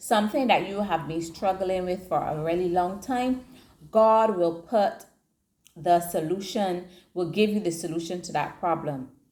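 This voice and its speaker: An unremarkable speaking voice from a woman, medium in pitch, at a moderate pace with ordinary pitch variation, on a very clean recording against a silent background. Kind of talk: devotional teaching talk.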